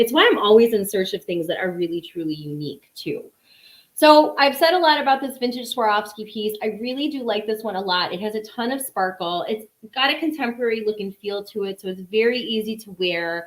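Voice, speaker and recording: Speaking at a fairly quick pace, a woman with a fairly high pitch and lively intonation talks in a strong Chicago accent. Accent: thick Chicago. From Chicago, US Midwest. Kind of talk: live sales stream. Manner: casual, chatty with filler words.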